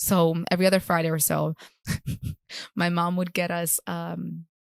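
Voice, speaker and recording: A woman speaks at a moderate pace in a Spanish accent. The sound is dry and close, with no echo. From Puerto Rico. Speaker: chiropractor. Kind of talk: interview.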